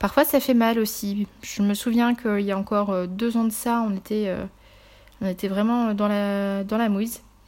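In a very clean recording with a silent background, a woman talks at a fairly slow pace with a medium pitch and fairly even intonation. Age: 30s. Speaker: podcaster and virtual assistant. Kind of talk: solo podcast monologue. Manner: halting, many fillers.

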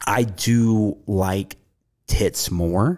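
A man's very deep, low voice with an American accent carries ordinary pitch variation. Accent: Southern US, diluted. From US South. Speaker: podcast host. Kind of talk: casual chat, profane banter.

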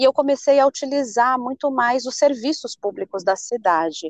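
Lively in intonation and high in pitch, a woman speaks at a moderate pace in a dry, close sound with no echo. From São Paulo state, Brazil. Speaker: city council candidate. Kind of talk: interview.

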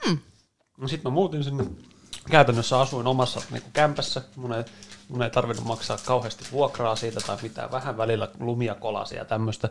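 An ordinary speaking voice at a moderate pace, with ordinary pitch variation and big swings in loudness. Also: man, medium pitch for a man. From Helsinki, Finland (East Helsinki). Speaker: podcast co-host. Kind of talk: casual chat.

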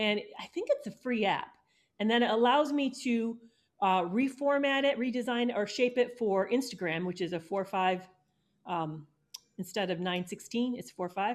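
This woman has a plain, everyday voice, pitched fairly high, with lively intonation. The recording is very clean, with a silent background. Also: moderate pace.

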